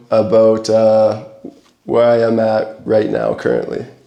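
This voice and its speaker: Speaking in a Canadian accent at a moderate pace and medium pitch, a man is heard with audible room echo. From Alberta, Canada. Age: 20s. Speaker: adventure photographer. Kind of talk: presentation to a camera club. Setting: talk to a club audience.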